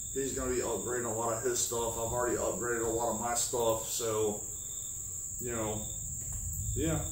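Recorded with audible room echo and light background noise, a man speaks at a moderate pace. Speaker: channel host. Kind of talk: casual vlog chat. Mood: relaxed, friendly. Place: home room. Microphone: camera far.

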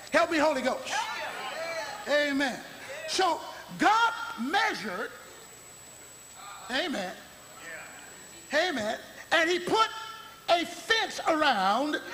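A raised, projected voice at a very slow pace, with very wide pitch swings, long, frequent pauses and light background noise. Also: man, extremely high pitch for a man. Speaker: bishop, gospel preacher. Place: church. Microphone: podium.

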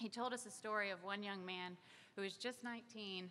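A woman's voice has a bright, sharp tone and a moderate pace. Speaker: magazine publisher. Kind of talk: speech at a press event. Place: hall. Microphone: podium.

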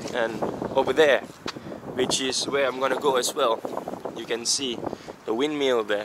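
Clearly noticeable noise sits behind this man's voice. No echo is present, and the sound stays dry. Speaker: travel vlogger. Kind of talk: casual vlog chat. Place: open country. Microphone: phone near.

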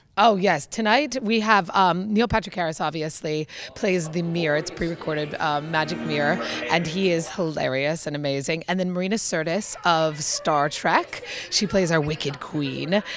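Faint music plays behind a woman speaking at a low pitch and a moderate pace. Her pitch varies in an ordinary way, and she pauses little.

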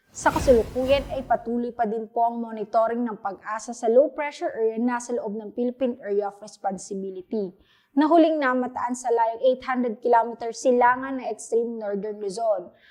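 Her tone dark and mellow, a woman speaks at a fairly high pitch with ordinary pitch variation, big swings in loudness and hardly any pauses. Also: moderate pace. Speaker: weather reporter. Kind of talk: scripted weather report read formally on air. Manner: formal, steady, polite and businesslike.

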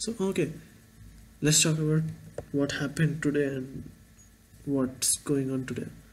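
With an Indian accent, a man talks in a somewhat breathy voice, leaving long, frequent pauses over light background noise. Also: fairly even intonation, moderate pace. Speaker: vlogger and engineering student. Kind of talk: casual vlog monologue. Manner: halting, rambling. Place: home room. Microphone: webcam.

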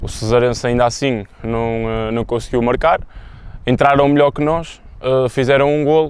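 The speech moves at a moderate pace with fairly even intonation in a dry sound with no echo. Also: man. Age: 20s. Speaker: football goalkeeper. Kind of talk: pre-match interview. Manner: halting, many fillers. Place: stadium.

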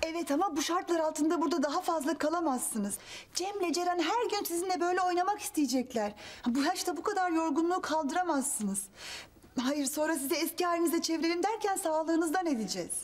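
A woman's extremely high-pitched voice with lively intonation at a fairly quick pace. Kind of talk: acted sitcom dialogue. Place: home room.

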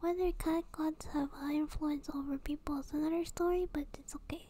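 The speaker is soft-spoken with a gentle tone. The pace is moderate. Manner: soft, gentle ASMR comforting voice.

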